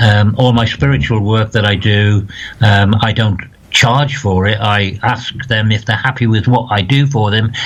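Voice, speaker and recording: Against noticeable background noise, a man in a northeast English accent speaks at a moderate pace with fairly even intonation. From northeast England, County Durham. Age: 60s. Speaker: spiritual medium. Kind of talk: interview.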